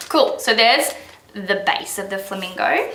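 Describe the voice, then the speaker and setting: Speech comes at a moderate pace. Audible room echo and noticeable background noise are present. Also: woman. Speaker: baker. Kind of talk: tutorial.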